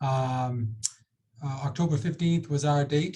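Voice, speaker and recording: The voice has a Boston accent and a dark, mellow tone. It is somewhat breathy, with fairly even intonation. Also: man. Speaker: ambulance service executive. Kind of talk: panel discussion.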